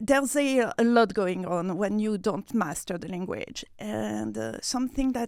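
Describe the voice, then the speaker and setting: Medium-pitched female speech in a French accent at a fairly slow pace, with a dry, close sound, no echo, and a very clean recording with a silent background. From France, Nice. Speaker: PR manager. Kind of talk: interview. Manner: halting.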